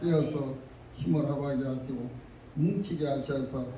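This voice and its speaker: Noticeable background noise accompanies a man whose fairly high pitch follows a fairly even intonation. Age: 80s+. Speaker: pastor. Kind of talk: prayer.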